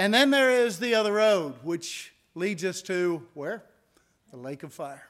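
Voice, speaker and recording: In a very clean recording with a silent background, a man with an American accent and a high pitch speaks fairly slowly, with lively intonation and big swings in loudness. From Indiana, US Midwest. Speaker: preacher. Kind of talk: sermon. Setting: church.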